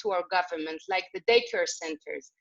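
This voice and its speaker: Speaking with an Israeli accent, a woman keeps a medium pitch. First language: Hebrew. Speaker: women's organization leader. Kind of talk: video call interview. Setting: video call. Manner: halting.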